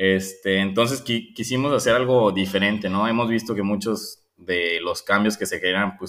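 A man keeps a moderate pace and fairly even intonation on a very clean recording with a silent background. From Guadalajara, Mexico. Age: 20s. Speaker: environmental volunteer, engineer. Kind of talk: interview testimony. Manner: hesitant, repeats words.

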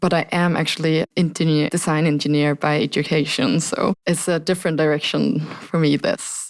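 A woman's normal speaking voice, fairly low in pitch, with ordinary pitch variation. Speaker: architecture program manager. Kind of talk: interview.

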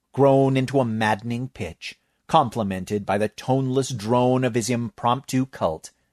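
The background stays quiet while a natural reading voice keeps fairly even intonation.

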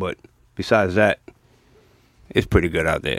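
A man with a New York accent speaks at a very fast pace. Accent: New York accent, unchanged. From New York (Bronx). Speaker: podcast guest. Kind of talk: casual chat.

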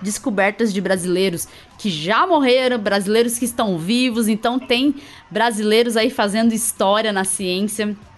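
Noticeable background noise sits behind a fairly slow delivery that has ordinary pitch variation. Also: woman, fairly high pitch for a woman. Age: 30s. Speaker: podcast host, immunologist. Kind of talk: casual science podcast chat.

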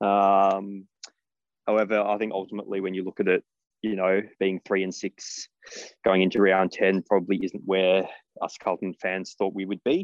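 A man with an Australian accent, fairly low in pitch, at a moderate pace, in a dry, close sound with no echo against a quiet background. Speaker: football fan. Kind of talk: interview.

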